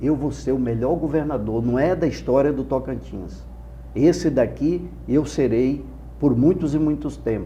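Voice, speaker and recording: Audible room echo surrounds the recording. A man speaks at a moderate pace. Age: 60s. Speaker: politician, gubernatorial candidate. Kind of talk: political interview. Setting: studio. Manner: impassioned oratorical.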